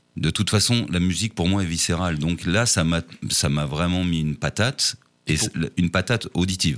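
A man with a very deep, low pitch, ordinary pitch variation and very even loudness. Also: fairly quick pace. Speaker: singer-songwriter. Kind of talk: interview. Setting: studio. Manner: halting.

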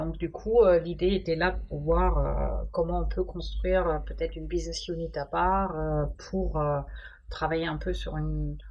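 A woman with a German accent at a fairly slow pace, with audible room echo. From Germany. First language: German (speaking French). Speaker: supply chain executive. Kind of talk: interview.

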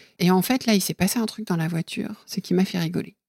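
At a very fast pace, the voice shows ordinary pitch variation on a very clean recording with a silent background and a dry, close sound with no echo. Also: woman. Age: 50s. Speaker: podcast guest telling her love story. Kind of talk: casual interview. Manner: halting, with many fillers.

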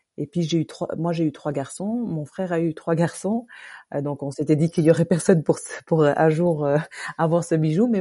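Over a quiet background, a woman speaks at a fairly quick pace with fairly even intonation. Her tone is dark and mellow, her pitch very deep and low. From Luxembourg. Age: 50s. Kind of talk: interview testimony. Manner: halting.

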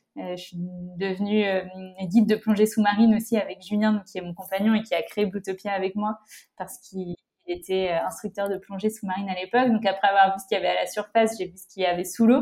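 Monotone and flat at a medium pitch, a woman speaks very fast with big swings in loudness. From France, La Rochelle. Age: 20s. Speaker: environmental association co-founder. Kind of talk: casual interview. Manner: hesitant, frequent repetitions.

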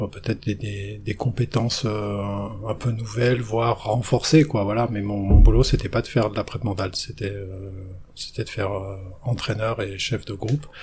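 A medium-pitched man with fairly even intonation over music in the background. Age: 50s. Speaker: ski coach and mental trainer. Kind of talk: interview.

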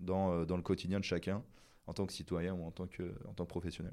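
A man's dark, mellow tone is captured on a very clean recording against a silent background. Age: 30s. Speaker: sustainability consultant. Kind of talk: interview. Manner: halting, many repetitions and fillers.

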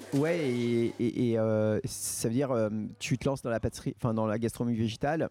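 A man's dark, mellow voice holds a very even loudness and fairly even intonation. The sound is dry and close, with no echo. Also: medium pitch for a man, moderate pace. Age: 40s. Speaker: pastry chef and bakery owner. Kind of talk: casual interview.

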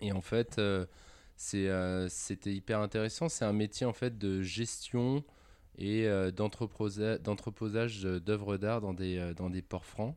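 A man at a very slow pace and fairly low pitch, fairly even intonation, over a quiet background. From France, Lyon area. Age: 20s. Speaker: engineer and operations executive. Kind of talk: interview.

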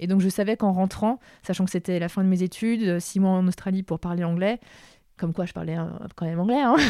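A woman speaks at a fairly quick pace in a dark, mellow tone of medium pitch, with fairly even intonation. The recording is very clean with a silent background and a dry, close sound with no echo. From France, Paris suburbs. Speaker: communications executive. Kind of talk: interview. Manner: halting.

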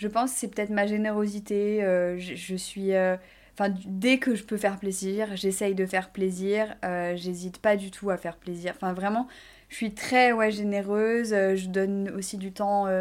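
The woman's voice sits at a medium pitch. She speaks fairly slowly with monotone, flat intonation. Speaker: fashion influencer and entrepreneur. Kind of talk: interview. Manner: spontaneous.

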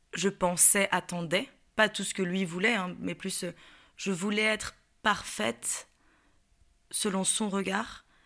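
A woman with a medium-pitched voice and a bright, sharp tone speaks at a very slow pace with long, frequent pauses and fairly even intonation, on a very clean recording with a silent background. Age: 20s. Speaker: actress sharing personal story. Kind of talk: personal testimony interview. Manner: hesitant, many fillers.

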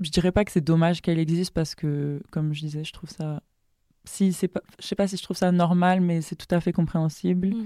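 In a very clean, dry, close recording with a silent background and no echo, a woman speaks at a fairly quick pace with a dark, mellow tone, fairly low pitch and fairly even intonation. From Senegal, Dakar. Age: 20s. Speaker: competitive swimmer. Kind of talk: interview conversation.

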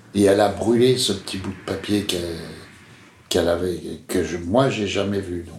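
Loudness swings widely over noticeable background noise and audible room echo, with fairly even intonation, a moderate pace and long, frequent pauses. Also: man, fairly low pitch for a man. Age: 70s. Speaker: interviewee telling his father's story. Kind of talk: personal testimony. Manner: halting, many hesitations.

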